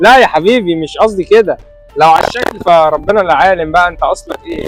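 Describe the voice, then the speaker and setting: Over music in the background, a man talks at a fairly quick pace in a high pitch with ordinary pitch variation. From Egypt. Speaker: actor. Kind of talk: street interview, asking passers-by questions.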